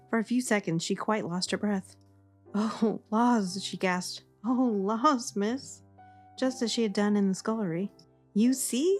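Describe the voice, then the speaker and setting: A calm, soothing tone at a fairly slow pace, with ordinary pitch variation and music in the background. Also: woman, fairly high pitch for a woman. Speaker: audiobook narrator. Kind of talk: sleep story reading of a classic novel. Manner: calm, soft, soothing.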